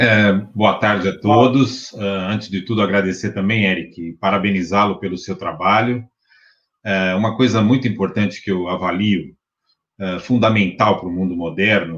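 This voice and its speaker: A man with a plain, everyday voice, fairly low in pitch, at a moderate pace with fairly even intonation. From Brazil, São Paulo city. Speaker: university professor and spiritist movement director. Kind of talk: interview. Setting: live-streamed online interview.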